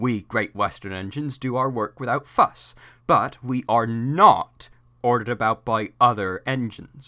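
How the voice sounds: The natural reading voice has pitch that moves in an ordinary way.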